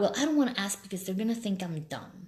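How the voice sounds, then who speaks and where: A woman talks with a Spanish accent. Audible echo from the room can be heard. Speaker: life coach. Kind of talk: live stream talk. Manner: animated.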